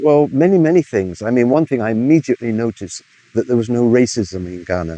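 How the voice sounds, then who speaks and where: In an English accent, a man talks very fast at a medium pitch, his tone dark and mellow and his intonation lively, in a dry, close sound with no echo. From England, Bristol. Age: 70s. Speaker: music historian and musician. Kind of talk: interview answer.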